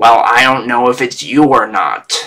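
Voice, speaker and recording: A man puts on a character voice with a growl. His pitch sits in the medium range. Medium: actual play. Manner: curt, deadpan.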